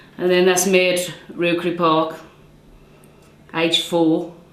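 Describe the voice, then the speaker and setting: With a fairly low pitch and monotone, flat intonation, a woman speaks at a moderate pace over noticeable background noise and audible room echo. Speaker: local resident. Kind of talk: interview reminiscence.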